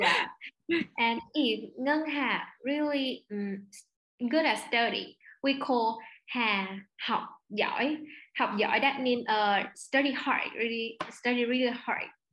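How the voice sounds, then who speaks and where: A woman's high pitch at a very slow pace. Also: ordinary pitch variation. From Vietnam. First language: Vietnamese. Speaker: overseas student. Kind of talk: interview. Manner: halting.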